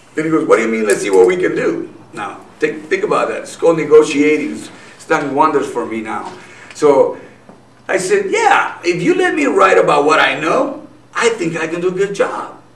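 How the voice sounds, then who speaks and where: Noticeable background noise surrounds the speech. The man's voice has audible room echo. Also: moderate pace. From Nogales, Mexico. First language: Spanish. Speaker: businessman and activist. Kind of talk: interview.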